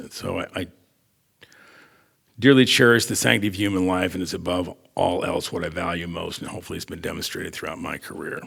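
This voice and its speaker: A man with an American accent, very deep, low pitch, at a fairly quick pace. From Lewiston, Idaho. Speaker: retired radiologist. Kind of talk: personal testimony reading.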